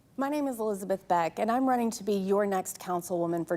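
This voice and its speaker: With an American accent and a plain, everyday voice, a woman talks at a fairly quick pace in a medium pitch with ordinary pitch variation. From Texas, Fort Worth. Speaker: city council candidate. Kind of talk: opening statement at candidate forum.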